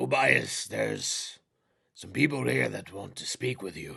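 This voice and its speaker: Doing a put-on character voice, a man speaks in a very deep, low, raspy tone at a moderate pace. His loudness swings widely. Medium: actual play.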